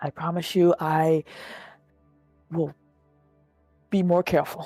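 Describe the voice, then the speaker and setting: Over music in the background, a strained, put-on character voice at middle pitch speaks in a monotone, flat intonation at a fairly slow pace. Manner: strained, hesitant speech.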